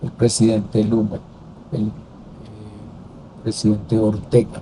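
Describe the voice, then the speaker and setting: Over noticeable background noise, a man with a fairly low pitch speaks at a fairly slow pace. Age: 70s. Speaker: former senator and political commentator. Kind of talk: interview conversation.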